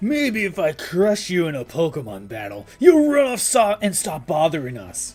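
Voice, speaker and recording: A man's high-pitched, put-on character voice with hardly any pauses. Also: moderate pace. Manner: dismissive, belligerent, tough.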